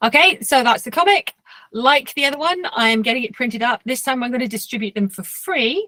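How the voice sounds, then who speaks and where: With an English accent and lively intonation, a woman talks in a dry, close sound with no echo. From England. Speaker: cartoonist. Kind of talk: lecture.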